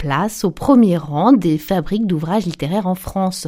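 Fairly low-pitched with a dark, mellow tone, a woman talks at a fairly slow pace with ordinary pitch variation.

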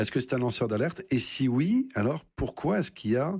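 A man speaks in a slightly mellow tone. His pitch swings widely.

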